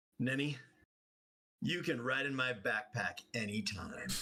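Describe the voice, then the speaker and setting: In a put-on character voice, a man speaks slowly and raspily at a medium pitch, keeping a fairly slow pace. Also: lively intonation. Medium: actual play.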